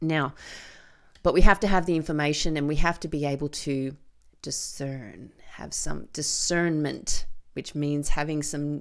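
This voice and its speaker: Against a very clean recording with a silent background, a woman with an Australian accent speaks at a very deep, low pitch, fairly slowly, with ordinary pitch variation. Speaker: podcast host and filmmaker. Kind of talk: solo podcast monologue. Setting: studio with microphone and camera.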